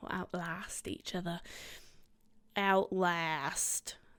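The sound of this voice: A woman's nasal, put-on character voice at a medium pitch and very slow pace, in a very clean recording with a silent background.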